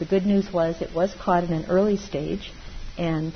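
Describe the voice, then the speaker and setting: A woman speaks over noticeable background noise. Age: 60s. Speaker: meditation teacher. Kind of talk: dharma talk.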